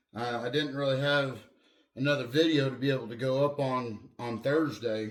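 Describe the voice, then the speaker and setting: With audible room echo, a man speaks in fairly even intonation. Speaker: car enthusiast YouTuber. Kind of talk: casual garage vlog.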